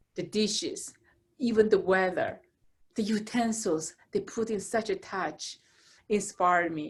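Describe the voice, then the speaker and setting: A woman with a Chinese accent speaks at a fairly slow pace, leaving long, frequent pauses. Her fairly high, somewhat breathy voice has ordinary pitch variation. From China. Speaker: architect and cooking channel creator. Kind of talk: casual chat.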